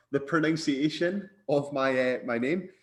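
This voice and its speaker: In a Scottish accent, a man is talking. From Scotland. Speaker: bodybuilder and posing coach. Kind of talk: podcast interview.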